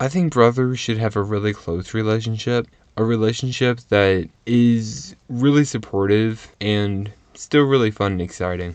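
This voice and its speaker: A man at medium pitch with an unremarkable speaking voice, ordinary pitch variation and a moderate pace, over a quiet background. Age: 20s. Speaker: university student, interviewee. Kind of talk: interview.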